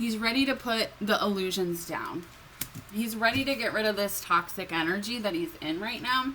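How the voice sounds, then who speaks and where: Lively intonation marks a woman's fairly high voice at a moderate pace. Noticeable background noise is present. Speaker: tarot reader. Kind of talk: tarot reading monologue. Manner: hesitant, many fillers; shaky voice.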